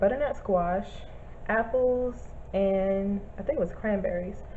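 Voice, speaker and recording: Fairly slow and fairly even in intonation, a woman speaks with audible room echo. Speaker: vlogger. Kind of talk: casual vlog review. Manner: halting, many fillers.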